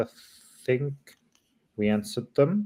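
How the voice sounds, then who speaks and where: A man talks with a non-native accent. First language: not English. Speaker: livestream moderator. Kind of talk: livestream Q&A moderation. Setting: live stream.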